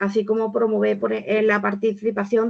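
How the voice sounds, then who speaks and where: Using a plain, everyday voice, a woman speaks at a fairly quick pace. Her medium pitch holds fairly even intonation. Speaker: volunteering organization speaker. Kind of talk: webinar presentation.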